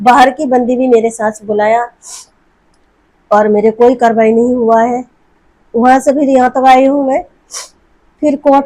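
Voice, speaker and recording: A woman with a Bengali accent speaks at a high pitch in a dark, mellow tone. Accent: Bengali-accented Hindi. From West Bengal, India. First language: Bengali (speaking Hindi). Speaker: domestic abuse victim seeking help. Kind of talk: testimony. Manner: halting.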